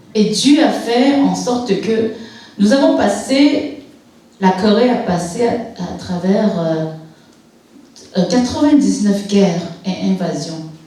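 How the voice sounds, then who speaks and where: Speaking very slowly with long, frequent pauses, a woman uses lively intonation at a medium pitch while noticeable background noise and audible room echo fill the recording. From Quebec, Montreal (born in Korea, moved at 5). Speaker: church guest speaker. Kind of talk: testimony. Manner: halting.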